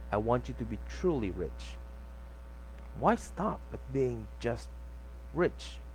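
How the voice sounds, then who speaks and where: Somewhat breathy and very deep and low in pitch, a man speaks at a very slow pace with fairly even intonation and long, frequent pauses. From Philippines. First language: not English. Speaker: book reader. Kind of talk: audiobook reading.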